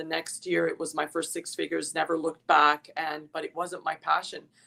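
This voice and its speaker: A woman speaking at a fairly quick pace. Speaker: mindset coach and former realtor. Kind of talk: podcast interview. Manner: enthusiastic, animated.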